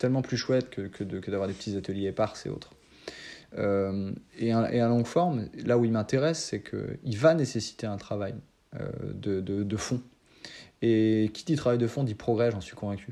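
With a dark, mellow tone, this voice moves at a moderate pace with ordinary pitch variation and long, frequent pauses over a quiet background. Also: man, fairly low pitch for a man. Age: 30s. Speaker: improv actor. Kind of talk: interview conversation. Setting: remote call. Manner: hesitant, many fillers.

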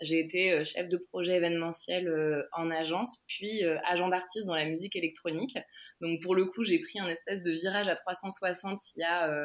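A woman's medium-pitched voice, fairly even in intonation, at a moderate pace. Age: 20s. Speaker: online crystal shop owner. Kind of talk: interview. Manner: halting.

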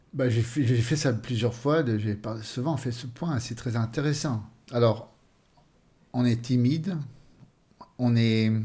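Somewhat breathy and dark, mellow in tone, a man speaks at a very slow pace with long, frequent pauses. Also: medium pitch for a man, ordinary pitch variation. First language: Swedish (speaking French). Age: 50s. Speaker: author. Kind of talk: interview. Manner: halting.

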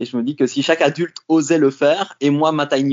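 This is a man speaking. His pitch is fairly high. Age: 40s. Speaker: coach and sexologist, former engineer. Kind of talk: interview, casual chat. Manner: hesitant, many fillers and repetitions.

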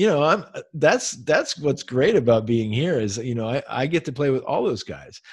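A somewhat breathy man with an American accent, fairly high pitch, lively intonation and a moderate pace. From Pennsylvania, US. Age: 50s. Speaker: jazz saxophonist and professor. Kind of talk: casual chat.

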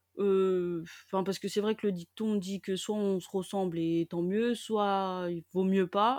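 A woman of medium pitch talks at a very slow pace with hardly any pauses, her intonation monotone and flat. The recording is very clean with a silent background, dry and close with no echo. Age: 20s. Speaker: nursery childcare assistant. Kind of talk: personal testimony interview. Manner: hesitant, many filler words.

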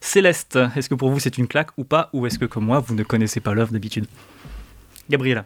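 A man talking at a very fast pace with long, frequent pauses, music playing in the background. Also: medium pitch for a man, ordinary pitch variation, dry, close sound with no echo. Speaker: podcast host. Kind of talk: casual chat. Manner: halting.

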